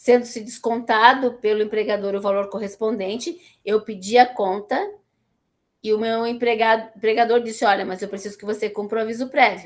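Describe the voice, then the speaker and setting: At a moderate pace, a woman with a fairly high pitch speaks in monotone, flat intonation, her loudness swinging widely. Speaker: teacher. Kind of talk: lecture. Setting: classroom, streamed online.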